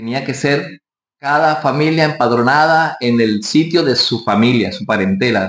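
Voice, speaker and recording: Speaking at a fairly slow pace, a man keeps a medium pitch with ordinary variation. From Colombian Caribbean coast, Barranquilla. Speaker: pastor. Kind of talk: sermon.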